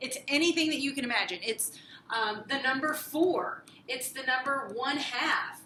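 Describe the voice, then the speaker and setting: Projecting a raised voice with audible room echo, a woman speaks at a fairly slow pace in a bright, sharp, high-pitched tone with lively intonation. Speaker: math teacher. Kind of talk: lecture.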